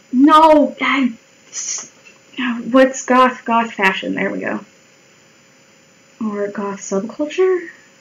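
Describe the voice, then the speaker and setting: A woman speaks very slowly at a high pitch, with lively intonation and big swings in loudness. Long, frequent pauses break her speech, and background noise is noticeable. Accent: American. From Colorado, US. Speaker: live streamer. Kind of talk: casual chat while drawing on live stream. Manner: animated.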